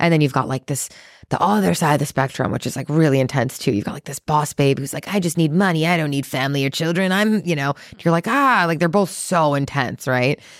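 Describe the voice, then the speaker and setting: A woman's very deep, low voice with an American accent, animated in tone, at a very fast pace with hardly any pauses, in a very clean recording with a silent background. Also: ordinary pitch variation. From US Midwest, Chicago. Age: 30s. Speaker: entrepreneur and podcaster. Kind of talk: casual chat.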